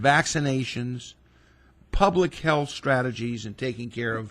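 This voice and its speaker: A man's somewhat breathy voice at medium pitch, with a moderate pace and ordinary pitch variation. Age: 60s. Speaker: physician. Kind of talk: radio interview.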